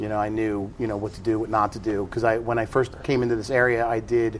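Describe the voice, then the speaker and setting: A man talks at a very fast pace in a medium pitch. His intonation stays fairly even. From South Jersey. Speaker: karate school owner and instructor. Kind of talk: casual interview.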